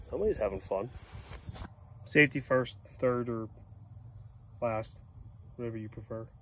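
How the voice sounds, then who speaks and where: With an American accent, a man speaks at medium pitch and a moderate pace, his intonation fairly even, his loudness swinging widely, and long pauses arriving often. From western Pennsylvania, near Pittsburgh. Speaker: firewood seller and homesteading vlogger. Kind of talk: casual outdoor vlog tutorial. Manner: relaxed, conversational.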